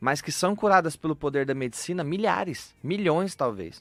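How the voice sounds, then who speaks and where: In an interior São Paulo accent, a man speaks at a moderate pace and fairly high pitch with lively intonation, on a very clean recording with a silent background. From interior of São Paulo state, Brazil. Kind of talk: radio interview. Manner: playful, light.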